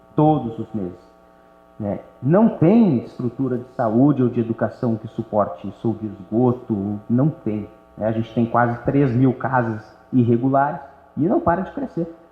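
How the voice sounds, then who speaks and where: A man's fairly slow speech carries ordinary pitch variation, set against noticeable background noise. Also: medium pitch for a man. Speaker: local politician. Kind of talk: interview conversation. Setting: auditorium with live audience.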